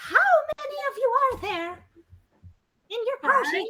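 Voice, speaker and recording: A put-on character voice pitched extremely high moves along at a fairly slow pace. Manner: hesitant and pressing.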